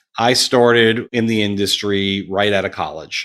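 An ordinary speaking voice from a man, fairly low in pitch with fairly even intonation. The recording is very clean, with a silent background. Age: 40s. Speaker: wealth management firm founder. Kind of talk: casual interview.

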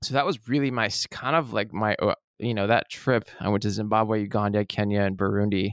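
A man's normal speaking voice, fairly low in pitch, with an American accent, fairly even intonation, a fairly quick pace with hardly any pauses, and a dry, close sound with no echo against a quiet background. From US Northwest, Seattle. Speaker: photographer. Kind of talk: interview.

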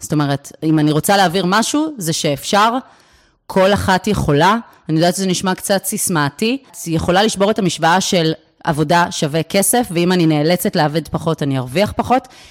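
A plain, everyday voice from a woman, fairly low in pitch, with ordinary pitch variation, a moderate pace, very even loudness and a dry, close sound with no echo. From Israel, Herzliya. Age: 30s. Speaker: real estate investor. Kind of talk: interview.

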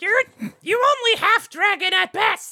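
At a fairly slow pace, a put-on character voice speaks in an extremely high pitch. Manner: mocking.

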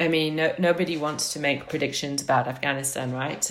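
This woman has a very deep, low pitch. Her intonation stays fairly even. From Italy. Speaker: journalist and author. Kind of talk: interview. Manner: hesitant, many fillers.

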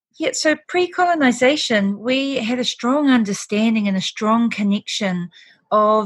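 Against a quiet background with a dry, close sound and no echo, a somewhat breathy woman speaks at a moderate pace with lively intonation. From New Zealand (Gisborne). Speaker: psychiatrist. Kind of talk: interview.

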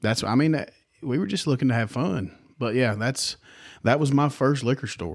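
Someone talks at a moderate pace with a Southern US accent. Pitch variation is ordinary, and the recording is very clean with a silent background. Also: man, medium pitch for a man. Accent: Southern US (Georgia). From Georgia, US South. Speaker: podcast co-host. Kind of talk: casual chat. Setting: his own home.

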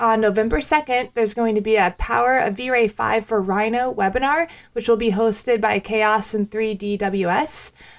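A woman with a plain, everyday voice, fairly high in pitch, at a moderate pace with ordinary pitch variation and hardly any pauses. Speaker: co-host. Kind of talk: casual chat.

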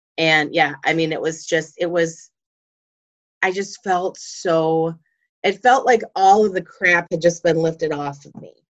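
A woman talks in a normal speaking voice, fairly low in pitch with ordinary pitch variation. Her pace is fairly slow, and her loudness swings widely. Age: 40s. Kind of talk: casual interview chat.

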